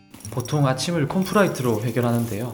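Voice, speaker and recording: Noticeable background noise runs under this clip. A man with a medium pitch speaks at a very fast pace with ordinary pitch variation. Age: 30s. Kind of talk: vlog voice-over narration.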